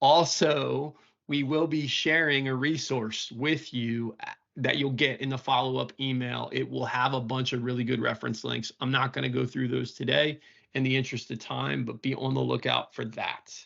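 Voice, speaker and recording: A man with a plain, everyday voice, medium pitch, fairly even intonation and a moderate pace. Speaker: IT consultant and webinar presenter. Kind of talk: webinar live demo.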